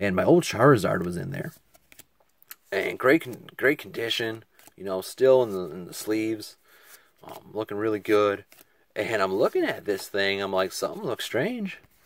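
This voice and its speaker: Quiet overall but with big swings in loudness, a man with a fairly low pitch talks at a moderate pace with ordinary pitch variation and long, frequent pauses. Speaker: card collector youtuber. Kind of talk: casual box-opening commentary. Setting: at home desk, late night. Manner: quiet, subdued.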